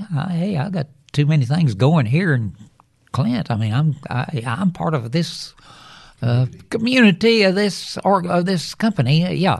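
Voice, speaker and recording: This man speaks with a West Texas accent at a fairly high pitch. His pitch swings are very wide. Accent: West Texas drawl. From West Texas, Lubbock. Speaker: retired electrician. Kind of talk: casual family interview.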